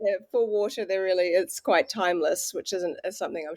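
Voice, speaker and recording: A woman with a New Zealand accent talks in a dry, close sound with no echo. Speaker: water researcher and author. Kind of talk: casual interview.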